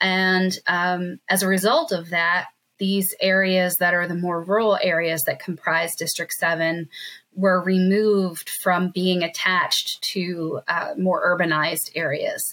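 Bright and sharp in tone, a woman speaks at a fairly slow pace with monotone, flat intonation. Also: medium pitch for a woman. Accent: American. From South Jersey, US. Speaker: county council member, former attorney. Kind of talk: interview. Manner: hesitant with frequent fillers.

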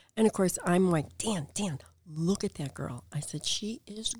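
Speaking very slowly in an American accent, a woman uses a medium pitch, lively intonation and a somewhat breathy delivery. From northern Illinois, near Chicago. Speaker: real estate agent. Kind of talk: casual chat. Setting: studio.

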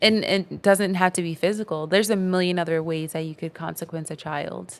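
A woman speaks at a fairly quick pace. Her pitch is fairly low and her intonation fairly even. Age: 20s. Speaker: educator and poet. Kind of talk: casual interview chat. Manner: filler-heavy, conversational.

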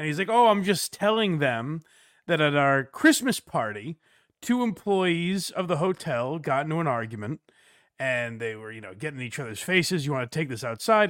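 Speaking at a fairly quick pace, a man with a fairly high pitch makes very wide pitch swings on a very clean recording with a silent background. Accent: American. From US Northeast, western Massachusetts. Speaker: podcaster, blind. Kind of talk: casual chat.

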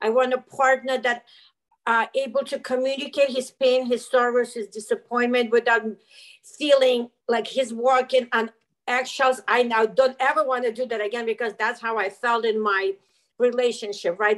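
The woman's high-pitched voice keeps to a moderate pace. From former Soviet Union. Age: 50s. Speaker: life coach. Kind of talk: interview. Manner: animated.

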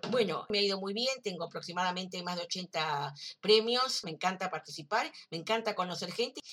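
An ordinary speaking voice at a fairly quick pace, with ordinary pitch variation. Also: woman. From Uruguay. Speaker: writer. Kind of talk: recorded self-introduction.

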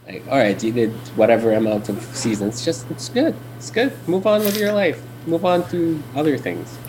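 Medium-pitched male speech at a moderate pace with very wide pitch swings, over noticeable background noise. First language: Arabic. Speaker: IT worker, old friend of host. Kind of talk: casual chat. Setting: video call.

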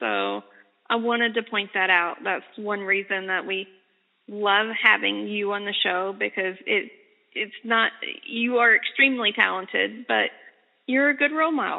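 At a moderate pace, a woman of medium pitch talks in a normal speaking voice with ordinary pitch variation. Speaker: radio interviewer. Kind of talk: radio interview, casual chat. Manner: warm, encouraging.

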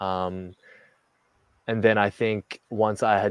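A man's fairly low, monotone, flat delivery with an Australian accent, in a dry, close sound with no echo. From Australia, Melbourne. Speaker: basketball player. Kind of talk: casual chat.

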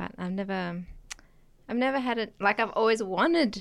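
With an Australian accent, a woman speaks at a moderate pace with ordinary pitch variation. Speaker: guest. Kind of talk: casual chat.

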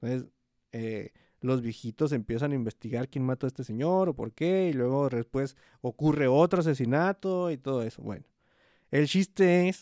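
Against a quiet background, a man with a Mexican accent speaks in a dark, mellow tone with ordinary pitch variation and a dry, close sound with no echo. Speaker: podcast co-host. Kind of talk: casual chat.

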